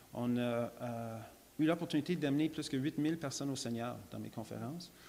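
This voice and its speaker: Speaking at a moderate pace, a man with an English accent has a medium pitch and a dark, mellow tone. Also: ordinary pitch variation. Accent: English-speaker accent in French, lasting. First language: English (speaking French). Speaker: creationist lecturer. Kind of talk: church talk, testimony. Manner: halting, many repetitions and fillers.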